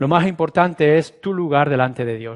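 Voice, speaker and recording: A man speaks in a normal speaking voice at a moderate pace. His pitch is fairly high, with ordinary variation. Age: 60s. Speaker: pastor. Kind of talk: sermon.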